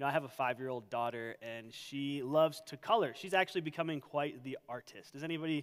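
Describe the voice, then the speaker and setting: A man's very fast delivery with hardly any pauses, ordinary pitch variation and big swings in loudness, over a quiet background. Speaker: pastor. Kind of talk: sermon. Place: church. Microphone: headset.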